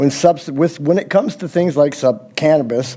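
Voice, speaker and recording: Ordinary pitch variation at a fairly quick pace, with noticeable background noise. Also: man. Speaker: member of the public. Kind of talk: public comment at council meeting. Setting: council chamber. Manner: halting.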